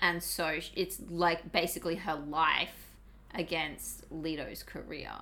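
Someone speaks very slowly in an Australian accent. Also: woman. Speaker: podcast host. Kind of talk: casual chat.

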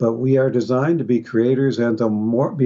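At a moderate pace, a man speaks with fairly even intonation and a medium pitch. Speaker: clinical psychologist and manifestation teacher. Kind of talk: interview. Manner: calm.

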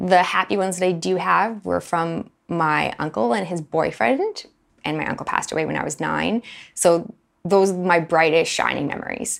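Speaking at a moderate pace, a woman uses a fairly low pitch with ordinary pitch variation and some vocal fry. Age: 30s. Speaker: podcast host sharing personal story. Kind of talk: personal testimony monologue.

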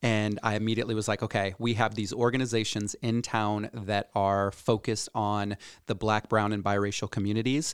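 Speaking at a fairly quick pace with hardly any pauses, the man keeps a monotone, flat intonation and very even loudness in a dry, close recording with no echo. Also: very clean recording, silent background. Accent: Midwestern US. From Iowa, Cedar Rapids. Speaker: entrepreneur and community activist. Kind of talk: podcast interview.

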